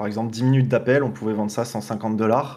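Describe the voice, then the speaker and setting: Speaking very fast, a man uses a fairly low pitch, ordinary pitch variation and a dark, mellow tone. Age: 20s. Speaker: online marketing agency owner; podcast guest. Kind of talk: podcast interview. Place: home room. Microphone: webcam.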